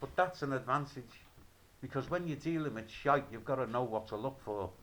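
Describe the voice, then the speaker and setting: A man at a medium pitch speaks with a Liverpool accent. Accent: Liverpool (Scouse). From Liverpool, England. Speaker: video blogger. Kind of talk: rant. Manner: animated; halting.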